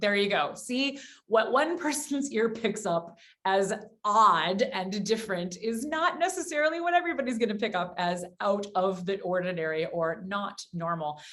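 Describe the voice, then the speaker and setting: A woman with a slight Midwestern accent speaks at a moderate pace in a medium-pitched voice. Her pitch swings very widely, and noticeable background noise is present. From US Midwest. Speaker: voice coach and podcast co-host. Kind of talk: casual chat.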